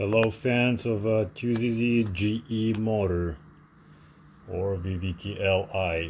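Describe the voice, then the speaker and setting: The speaker has a non-native accent, a somewhat breathy voice and fairly even intonation. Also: man. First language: not English. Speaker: DIY mechanic. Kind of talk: casual narration of home car project.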